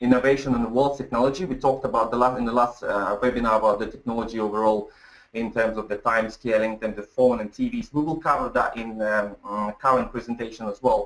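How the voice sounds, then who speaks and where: Here a man talks at a very fast pace. He leaves hardly any pauses. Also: medium pitch for a man, fairly even intonation. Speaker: webinar presenter. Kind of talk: webinar presentation. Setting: online webinar. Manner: halting, many fillers and repeats.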